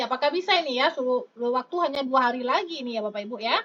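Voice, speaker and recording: The voice is raised and projected, with lively intonation at a very fast pace. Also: woman. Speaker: online exam-prep tutor. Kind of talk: live stream tutorial answering chat. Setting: live stream. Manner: lively, chatty with many fillers.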